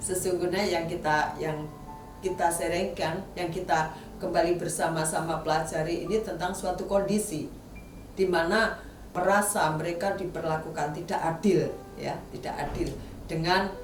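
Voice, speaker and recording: Through noticeable background noise and audible room echo, a woman with a fairly low pitch speaks in a monotone, flat way at a moderate pace. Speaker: preacher. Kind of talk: sermon.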